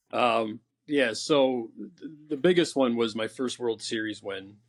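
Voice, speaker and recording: A man with an American accent has an unremarkable speaking voice at medium pitch and ordinary pitch variation, in a very clean recording with a silent background. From upstate New York (Rome, NY). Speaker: bocce player. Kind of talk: interview. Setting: podcast.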